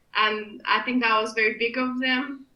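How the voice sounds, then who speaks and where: With noticeable background noise behind her, a woman speaks at a moderate pace in a fairly high pitch and a monotone, flat intonation. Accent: Kurdish. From Iraqi Kurdistan, raised in Glasgow from age 12. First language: Kurdish. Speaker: political candidate and rights campaigner. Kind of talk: podcast interview.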